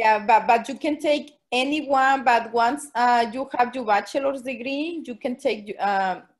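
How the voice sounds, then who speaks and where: With a Spanish accent, a woman speaks at a very slow pace in a high voice with ordinary pitch variation against a quiet background. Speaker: special education teacher. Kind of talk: Q&A at online forum. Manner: halting.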